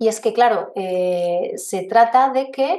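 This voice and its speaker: A woman's dark, mellow tone, fairly high in pitch, with ordinary pitch variation. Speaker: biologist and pest control expert. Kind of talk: webinar lecture. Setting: online webinar.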